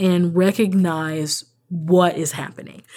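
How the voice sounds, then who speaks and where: A woman with an unremarkable speaking voice talks fairly low in pitch with fairly even intonation. The recording is very clean with a silent background. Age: 30s. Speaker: author and advocate minister. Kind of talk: interview conversation.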